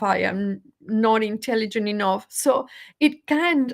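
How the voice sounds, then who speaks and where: A woman with a Spanish accent and a fairly high pitch speaks very slowly with ordinary pitch variation, on a very clean recording with a silent background. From Venezuela. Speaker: motivational speaker. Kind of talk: live stream talk. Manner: halting.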